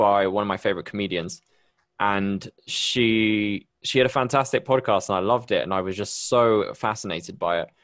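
Speaking at a fairly quick pace, a man with a Bristol accent uses a fairly low pitch and ordinary pitch variation. The background is quiet. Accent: British, Bristol-area. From Bristol, UK. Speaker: podcast host. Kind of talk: casual interview chat. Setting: video call.

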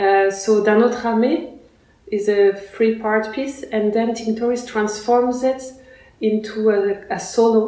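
Over noticeable background noise and audible room echo, a woman with a fairly high pitch speaks very slowly in a fairly even intonation. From France, born in Russia. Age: young. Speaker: Renaissance fiddle player. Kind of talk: interview. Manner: halting, many fillers.

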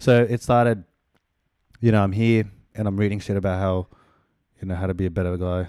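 With an Australian accent, a man speaks at a fairly quick pace but leaves long, frequent pauses, his fairly low voice dark and mellow in tone. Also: fairly even intonation. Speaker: podcast host. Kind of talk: casual chat.

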